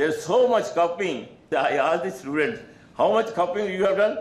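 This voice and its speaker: With an Indian accent, a man speaks at a high pitch, and room echo is audible. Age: 80s+. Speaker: religious leader and founder of a school charity. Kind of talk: conference speech. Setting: stage with audience. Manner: halting. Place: meeting room. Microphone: podium.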